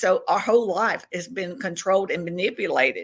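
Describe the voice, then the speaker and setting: A woman speaks at medium pitch with a Southern US accent. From Tennessee. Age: 60s. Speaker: self-described alien contactee. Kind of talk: podcast interview.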